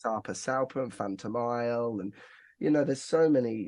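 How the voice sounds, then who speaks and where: Against a quiet background, this voice has an English Midlands accent, a moderate pace and ordinary pitch variation. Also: man. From England, Northampton. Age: 30s. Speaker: singer-songwriter. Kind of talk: casual chat.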